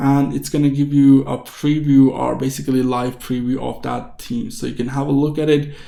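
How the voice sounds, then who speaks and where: A man's dark, mellow voice, flat and monotone, with audible room echo over a quiet background. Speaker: tech tutorial youtuber; presenter. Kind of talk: screen-recorded tutorial. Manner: fast; casual, with fillers. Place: home room.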